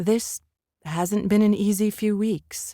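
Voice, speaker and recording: Using a put-on character voice, a female-sounding speaker stays at a medium pitch. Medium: read story. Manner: subdued, guarded.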